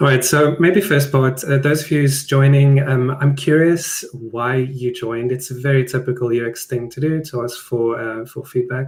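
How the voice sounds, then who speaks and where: A man with a South African accent at a moderate pace and medium pitch, fairly even in intonation, with hardly any pauses and noticeable background noise. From South Africa (Johannesburg). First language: Afrikaans. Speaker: product designer. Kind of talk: webinar presentation. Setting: live online stream. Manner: hesitant, many fillers.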